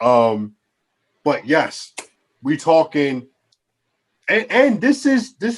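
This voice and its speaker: A man in a Baltimore accent at a very slow pace, fairly high in pitch, with very wide pitch swings. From Baltimore, Maryland (Northeast Baltimore). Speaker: podcast co-host. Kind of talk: casual chat. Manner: animated.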